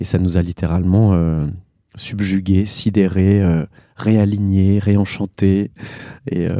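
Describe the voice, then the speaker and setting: Very slow and very deep, a man's dark, mellow voice holds a monotone, flat intonation with long, frequent pauses. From Alsace, France. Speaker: actor and theatre director. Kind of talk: interview. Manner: halting.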